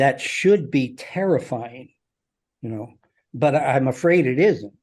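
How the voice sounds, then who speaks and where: Here is a man with a plain, everyday voice and a fairly high pitch. He speaks at a fairly slow pace with lively intonation. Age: 60s. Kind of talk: casual chat.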